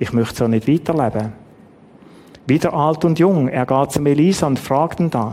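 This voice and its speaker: At a moderate pace, a man with a Swiss accent speaks in a fairly high voice with ordinary pitch variation. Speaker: preacher. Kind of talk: sermon. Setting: church.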